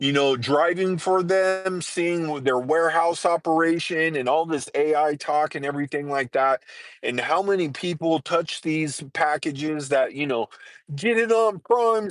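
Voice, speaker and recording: Over a quiet background, a man with a plain, everyday voice and a fairly high pitch speaks at a moderate pace with ordinary pitch variation, the sound dry and close with no echo. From Southern California. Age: 50s. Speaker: live streamer, nomad. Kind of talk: casual live stream chat. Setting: parked vehicle by highway.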